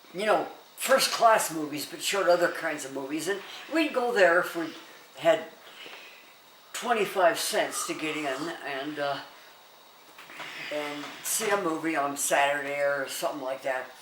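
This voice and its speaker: A woman with an American accent speaks at a fairly slow pace, with long, frequent pauses and big swings in loudness. Audible room echo surrounds her voice. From US West, Denver. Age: 90s. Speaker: elderly interviewee sharing memories. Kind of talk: casual oral history interview. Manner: halting with many fillers.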